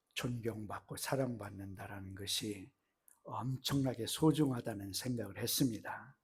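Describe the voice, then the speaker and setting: Speaking at a fairly slow pace, a man with a medium-pitched, somewhat breathy voice uses ordinary pitch variation. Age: 70s. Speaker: missionary. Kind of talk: sermon. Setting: church. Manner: halting.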